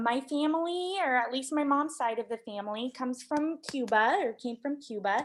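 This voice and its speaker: A woman talks at a moderate pace. Her high voice has lively intonation. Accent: Midwestern US. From Nebraska. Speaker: radio reporter. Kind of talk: interview.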